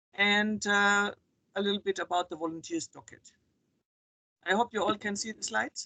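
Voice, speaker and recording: A woman with a German accent and a medium pitch speaks at a moderate pace with fairly even intonation, big swings in loudness, and long, frequent pauses. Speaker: volunteer coordinator. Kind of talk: online meeting presentation.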